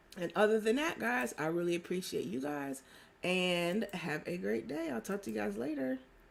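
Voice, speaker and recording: A strained woman's voice, fairly low in pitch, with very wide pitch swings at a moderate pace. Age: 30s. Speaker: live stream host and life coach. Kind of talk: casual live stream chat.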